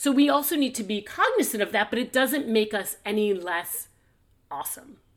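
A woman speaks with a plain, everyday voice at a fairly high pitch. Her intonation is lively. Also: moderate pace. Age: 50s. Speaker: podcast host, business and career coach. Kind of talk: casual chat.

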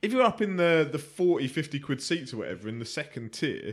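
In a southern England accent, a man with a fairly high pitch and vocal fry talks at a fairly quick pace with very wide pitch swings. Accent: British English, southern England. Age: 30s. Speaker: boxing pundit. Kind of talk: casual chat.

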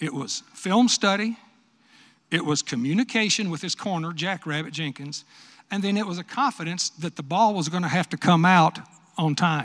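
In a West Texas accent, the speaker talks at a moderate pace with ordinary pitch variation on a very clean recording with a silent background. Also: man, high pitch for a man. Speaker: retired football coach and commentator. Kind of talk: speech at luncheon Q&A.

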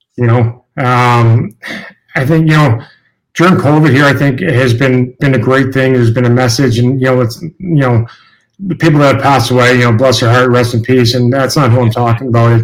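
A man's medium-pitched voice at a fairly quick pace, with fairly even intonation and very even loudness. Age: 40s. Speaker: retired hockey player. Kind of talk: casual interview. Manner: halting.

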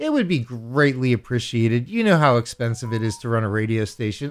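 A man speaks in a plain, everyday voice at medium pitch and a moderate pace. The recording is very clean, with a silent background. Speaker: radio DJ. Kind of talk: self-mythologizing radio DJ patter, throwing to a song. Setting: radio studio. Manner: theatrical, playful showman with grandiose self-titles; jokey, mock-commanding toward listeners.

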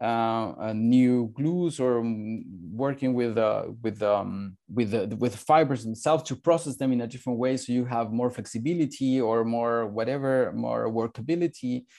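Over a quiet background, a man speaks at a moderate pace in a dark, mellow tone. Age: 40s. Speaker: startup founder and architect. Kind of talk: interview. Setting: video call. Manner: halting.

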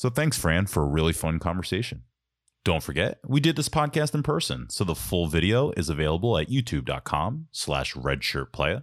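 On a very clean recording with a silent background, a man talks at a moderate pace with a very deep, low pitch and vocal fry. His pitch swings very widely while his loudness stays very even. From Philadelphia suburbs. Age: 30s. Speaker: podcast host. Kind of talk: scripted narration; casual chat. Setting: studio.

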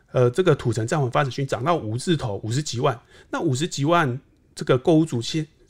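Somewhat breathy, fairly high male voice, fairly quick in pace, its pitch varying in an ordinary way. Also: very clean recording, silent background. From southern Taiwan. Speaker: real estate market analyst. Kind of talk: casual interview chat.

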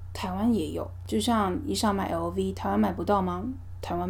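A woman's very deep, low voice in a Taiwanese accent, with monotone, flat intonation and audible room echo. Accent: Taiwanese Mandarin. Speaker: podcast host. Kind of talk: casual monologue.

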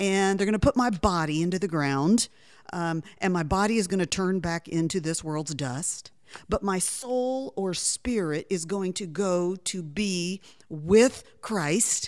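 The recording is very clean, with a silent background. A woman speaks slowly-ish, at medium pitch with ordinary pitch variation. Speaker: Bible teacher and author. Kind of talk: radio interview. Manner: enthusiastic.

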